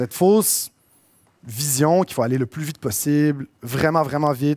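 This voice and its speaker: In a very clean recording with a silent background and a dry, close sound with no echo, a man with a Quebec accent talks at a fairly high pitch with ordinary pitch variation. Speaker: entrepreneur, conference speaker. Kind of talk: conference talk. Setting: stage with audience. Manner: casual, with many fillers.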